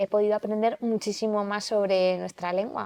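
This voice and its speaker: A woman at a moderate pace, recorded with a dry, close sound and no echo. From Aragon, Zaragoza. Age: 30s. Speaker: TV presenter and language promoter. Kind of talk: podcast interview.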